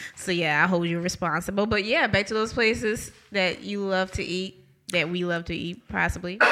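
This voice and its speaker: Bright and sharp in tone, a woman talks at a moderate pace with medium pitch and fairly even intonation. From New Orleans. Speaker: podcast host. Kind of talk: podcast outro announcements; casual interview. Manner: laughs often.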